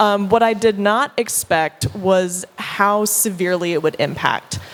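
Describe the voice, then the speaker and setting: With a Southern US accent, a woman speaks at a medium pitch and varies it in an ordinary way. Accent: Southern US, noticeable. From US Deep South. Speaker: content creator, panelist. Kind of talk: panel discussion.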